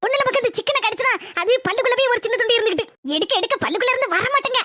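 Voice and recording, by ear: A woman's cartoonish character voice, extremely high-pitched and very fast.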